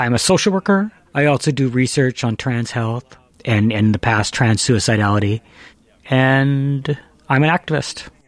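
A man with a Canadian accent talks at a moderate pace in an ordinary speaking voice. His intonation is lively. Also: medium pitch for a man. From Vancouver. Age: 30s. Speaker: social worker. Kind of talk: casual chat.

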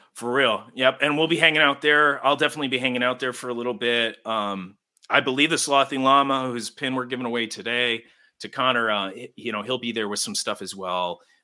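Using a plain, everyday voice, a man with an American accent speaks at medium pitch and a fairly quick pace with ordinary pitch variation. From US Northeast. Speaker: podcast co-host. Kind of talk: casual chat.

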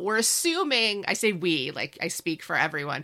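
At a moderate pace, a woman with a medium pitch speaks in a bright, sharp tone touched with vocal fry. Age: 40s. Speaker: podcaster. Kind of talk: casual chat.

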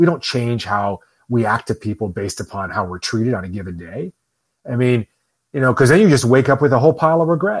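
A man with a Midwestern American accent at a very fast pace, medium pitch and lively intonation, in a very clean, dry, close recording with no echo and a silent background. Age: 50s. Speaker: author and entrepreneur. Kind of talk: casual chat.

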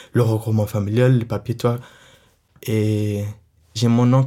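In an Arabic accent, a man speaks at a moderate pace and medium pitch with a dark, mellow tone and monotone, flat intonation, on a very clean recording with a silent background. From Syria, Latakia. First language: Arabic (speaking French). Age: 20s. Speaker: young refugee sharing life story. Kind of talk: personal testimony. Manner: halting, with many fillers.

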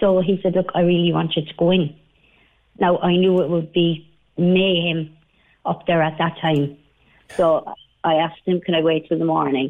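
With an Irish accent, a woman talks at a moderate pace with fairly low pitch, monotone, flat intonation and long, frequent pauses. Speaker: caller, recent hospital patient. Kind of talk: radio phone-in. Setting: phone call.

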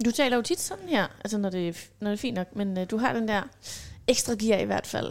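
This woman has an unremarkable speaking voice with a fairly high pitch. She talks at a moderate pace with ordinary pitch variation. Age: 30s. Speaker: self-employed mother, podcast guest. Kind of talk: casual chat.

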